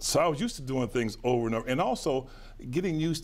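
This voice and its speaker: Here a man of medium pitch talks at a very fast pace. His intonation is lively. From western Pennsylvania, near Pittsburgh; Pennsylvania. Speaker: businessman and lawyer; lawyer. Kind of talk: interview. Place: studio. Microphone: lapel.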